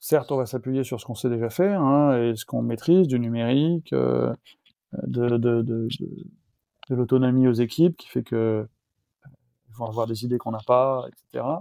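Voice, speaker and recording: A man talks at a medium pitch in an ordinary speaking voice, with ordinary pitch variation. His loudness swings widely. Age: 50s. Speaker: entrepreneur, founder of a renovation company. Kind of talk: interview.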